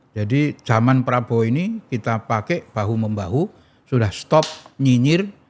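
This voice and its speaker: Moderate pace, lively intonation, and a plain, everyday voice from a man at medium pitch. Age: 60s. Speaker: political figure and foundation founder. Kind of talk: podcast interview.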